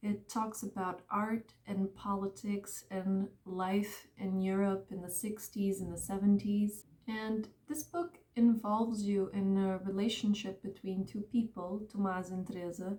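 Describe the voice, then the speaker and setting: The voice has a dark, mellow tone and is somewhat breathy. It moves at a fairly slow pace with hardly any pauses. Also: woman, medium pitch for a woman, fairly even intonation. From Portugal. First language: Portuguese. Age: 20s. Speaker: book vlogger. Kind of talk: casual presentation to camera.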